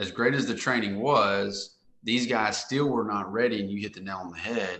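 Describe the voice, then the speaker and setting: Speaking with an American accent, a man uses a bright, sharp tone at a fairly low pitch, keeping his intonation fairly even. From US South, Central Arkansas. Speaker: men's coach, insurance business owner. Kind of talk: testimony.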